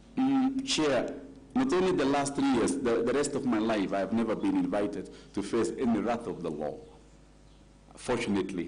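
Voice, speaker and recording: A man with an African accent at a moderate pace, long, frequent pauses, audible room echo and noticeable background noise. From Kenya. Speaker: nominee for county office, lawyer. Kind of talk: vetting interview. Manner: formal.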